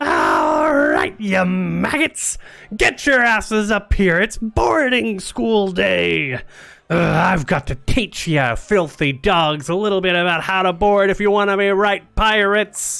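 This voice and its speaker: Using a put-on character voice, a man speaks at a high pitch. His pace is fairly slow. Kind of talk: gruff, commanding. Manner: boisterous.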